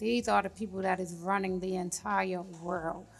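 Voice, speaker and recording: Over noticeable background noise, a woman with an American accent speaks fairly slowly at a medium pitch with fairly even intonation. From Brooklyn, New York. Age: 30s. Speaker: investment banker. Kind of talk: casual chat.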